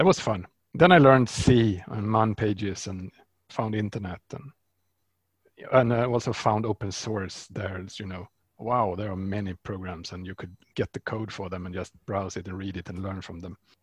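A man's fairly low voice with a Swedish accent, at a moderate pace, with fairly even intonation and big swings in loudness, in a very clean, dry, close recording with a silent background and no echo. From Sweden. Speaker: software developer and open source founder. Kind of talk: interview.

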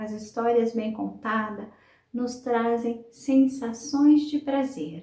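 A woman talks very slowly, her fairly high pitch showing ordinary variation. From Brazil, São Paulo state (Sumaré). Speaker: storyteller and teacher. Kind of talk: interview; storytelling.

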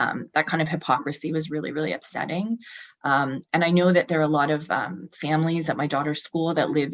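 A woman with a Canadian accent talks at a fairly quick pace. Her pitch is very deep and low, with ordinary variation. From Ottawa, Canada. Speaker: city council candidate. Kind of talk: public testimony. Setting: video call.

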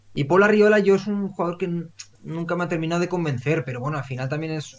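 A man speaks at a very fast pace, somewhat breathy. His pitch variation is ordinary. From Valencia region, Spain. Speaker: football podcast host. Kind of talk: casual chat.

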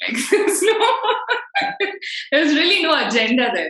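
Her pitch swings very widely. The woman uses a raised, projected voice. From India, Bangalore (North). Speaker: podcast host. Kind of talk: casual chat.

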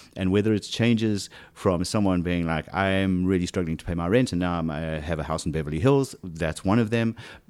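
A man's very deep, low pitch with ordinary pitch variation, on a very clean recording with a silent background. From South Africa. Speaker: casting director. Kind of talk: casual interview conversation. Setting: home living room. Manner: halting, many repetitions and fillers.

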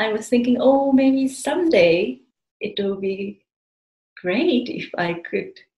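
A woman's high voice in a Japanese accent, very slow and with very wide pitch swings. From Japan, outside Tokyo. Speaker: spiritual community member. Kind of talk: interview, personal life story. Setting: remote call. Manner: halting.

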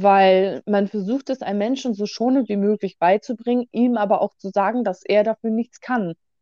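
Woman in a normal speaking voice, medium in pitch, with fairly even intonation. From Bremen, northern Germany. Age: 20s. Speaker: guest. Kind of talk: casual conversation.

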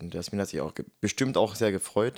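It is a plain, everyday voice. A man speaks at a moderate pace with a fairly low pitch. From Germany. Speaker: podcast co-host, kindergarten teacher. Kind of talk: casual chat. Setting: in person, same room.

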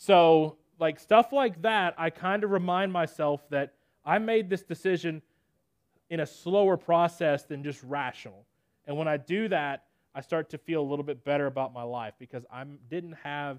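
Over a quiet background, a man with a fairly high pitch speaks with big swings in loudness. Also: dry, close sound with no echo. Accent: Southern US. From Nashville, Tennessee. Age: 20s. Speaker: preacher. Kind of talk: sermon.

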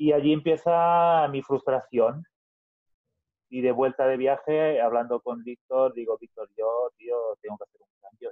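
A man speaks at medium pitch and a fairly slow pace, with fairly even intonation. His loudness swings widely. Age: 30s. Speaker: business owner. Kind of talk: podcast interview. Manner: halting, with repetitions.

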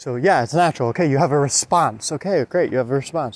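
A man talks at a very fast pace. His fairly high pitch shows ordinary pitch variation. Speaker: motivational podcaster. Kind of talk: motivational monologue. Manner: halting, many fillers.

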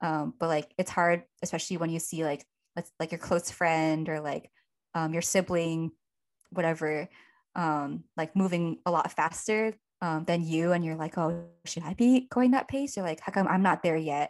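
Against a quiet background, a woman speaks at a moderate pace in an unremarkable speaking voice. It is fairly low, with ordinary pitch variation. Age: 20s. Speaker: podcast co-host. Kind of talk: casual chat.

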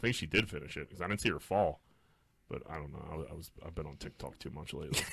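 A man with an American accent speaks at a very fast pace in a very deep, low pitch with vocal fry. His bright, sharp tone shows ordinary pitch variation and big swings in loudness. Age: 30s. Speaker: podcast co-host. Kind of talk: casual chat.

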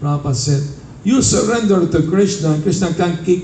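In a room with audible echo and noticeable background noise, a man with a high voice speaks at a moderate pace with lively intonation. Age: 70s. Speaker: Hare Krishna monk teaching devotees. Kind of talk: spiritual talk with storytelling.

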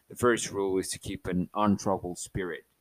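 A man's very deep, low voice with a Spanish accent, at a moderate pace with fairly even intonation. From Mexico, Chihuahua. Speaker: podcast host. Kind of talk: casual solo monologue. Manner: halting, repeats words.

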